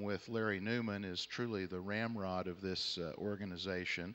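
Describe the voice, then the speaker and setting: In a Southern US accent, a man talks at a fairly low pitch. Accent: American Southern. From Texas, Houston. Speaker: panel chair, arbitration lawyer. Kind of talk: conference panel introduction. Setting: conference hall with audience.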